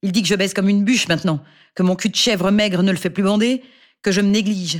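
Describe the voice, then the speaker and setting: Her voice sits at a medium pitch, and she speaks at a moderate pace. The woman is heard in a very clean recording with a silent background. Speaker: audiobook narrator. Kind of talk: scripted first-person noir monologue narration, read aloud as an anxious battered wife.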